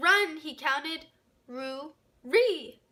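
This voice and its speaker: Putting on a character voice, a woman speaks in a high, squeaky tone. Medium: read story. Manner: replaces starting sounds with R.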